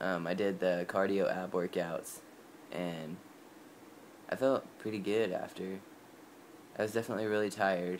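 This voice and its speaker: A man with a very deep, low voice talks at a moderate pace with fairly even intonation. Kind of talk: casual vlog. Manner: many filler ums.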